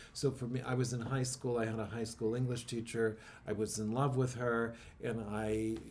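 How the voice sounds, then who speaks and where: Over noticeable background noise and audible room echo, a man talks at a moderate pace and medium pitch with monotone, flat intonation. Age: 50s. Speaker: poet and podcast host. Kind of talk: casual interview chat. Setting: church.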